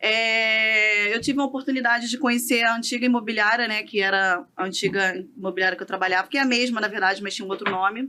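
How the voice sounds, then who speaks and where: Talking at a very fast pace with hardly any pauses, a woman has a fairly high pitch. Her intonation is fairly even. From Rio de Janeiro, Brazil. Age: 30s. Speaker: real estate broker and business owner. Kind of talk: podcast interview. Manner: calm.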